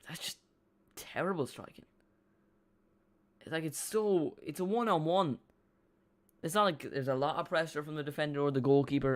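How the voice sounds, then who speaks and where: A fairly high-pitched man talks fairly quickly with an Irish accent, stopping for long, frequent pauses. His pitch varies in an ordinary way, and his loudness swings widely. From Ireland. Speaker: football fan streamer. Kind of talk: live watch-along commentary. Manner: casual, halting.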